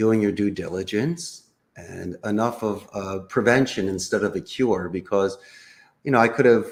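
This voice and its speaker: A Philadelphia accent at a moderate pace. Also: man. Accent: Philadelphia American English. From US Northeast, Philadelphia. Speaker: call center CEO. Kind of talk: interview.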